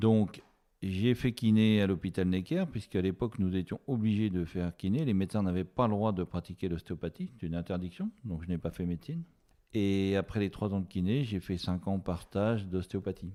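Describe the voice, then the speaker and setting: This man talks at a moderate pace, his fairly low voice moving with ordinary pitch variation. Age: 60s. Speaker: osteopath. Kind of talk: interview. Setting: podcast interview. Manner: hesitant, many fillers.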